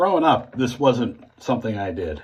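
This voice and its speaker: Swinging very widely in pitch around a medium level, a man speaks with vocal fry and an American accent. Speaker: shaving video creator. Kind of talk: casual tutorial monologue. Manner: halting.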